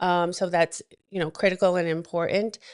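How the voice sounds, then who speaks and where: A woman's fairly low voice with a New England accent and monotone, flat intonation, in a dry, close sound with no echo and a quiet background. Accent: New England American. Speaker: wealth advisor. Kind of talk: talk show guest presentation. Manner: frequent fillers.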